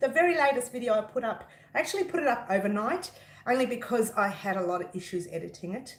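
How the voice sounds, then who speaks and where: Over noticeable background noise, a high-voiced woman talks at a very fast pace with very wide pitch swings. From Italian heritage. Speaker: crochet designer and YouTuber. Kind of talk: casual livestream chat. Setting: live stream. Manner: loud; talkative, excitable.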